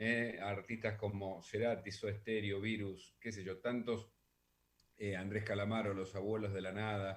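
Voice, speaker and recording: This man's intonation stays monotone and flat. He speaks at a fairly slow pace. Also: fairly low pitch for a man. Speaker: radio host. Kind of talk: casual monologue. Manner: loud; hesitant, many fillers.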